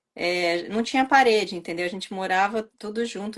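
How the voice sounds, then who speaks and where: Noticeable background noise runs under a woman's voice. She speaks at a medium pitch with fairly even intonation. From Brazil. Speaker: channel host, Brazilian emigrant. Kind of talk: casual conversation.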